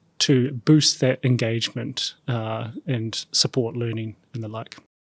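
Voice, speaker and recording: With a New Zealand accent, a man speaks at medium pitch in a monotone, flat intonation, the sound dry and close with no echo and the recording very clean over a silent background. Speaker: startup CEO. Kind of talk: podcast panel introduction.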